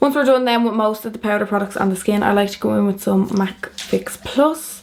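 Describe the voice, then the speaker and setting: A woman talks at a fairly quick pace with ordinary pitch variation. Noticeable background noise sits behind her. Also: medium pitch for a woman. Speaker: makeup artist. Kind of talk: casual makeup tutorial to camera.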